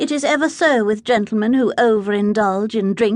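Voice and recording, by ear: The clip has ordinary pitch variation as someone reads aloud in a natural voice.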